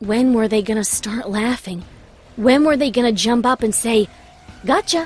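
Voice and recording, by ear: The speaker reads aloud in a natural voice, keeping the intonation fairly even.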